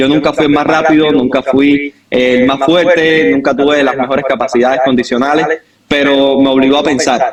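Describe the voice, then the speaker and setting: Keeping a very even loudness, a man with a Cuban accent speaks at a fairly high pitch and moderate pace in a flat, monotone intonation. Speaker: football coach. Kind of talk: podcast interview.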